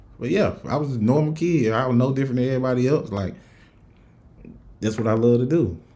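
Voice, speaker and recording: A man with an American accent and a dark, mellow tone, at a very fast pace with long, frequent pauses and audible room echo. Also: medium pitch for a man, ordinary pitch variation. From US South, Rock Hill, South Carolina. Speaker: podcast host. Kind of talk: casual chat. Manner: casual, many fillers.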